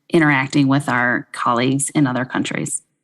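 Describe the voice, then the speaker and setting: A woman speaks with a Midwestern accent. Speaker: podcast co-host, fertility physician. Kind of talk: podcast discussion.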